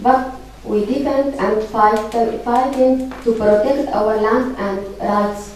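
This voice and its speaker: A woman with a non-native accent speaks at a very slow pace in a fairly high voice with ordinary pitch variation, with audible room echo and noticeable background noise. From Syrian Kurdistan. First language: Kurdish. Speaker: activist. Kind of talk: conference speech. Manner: halting.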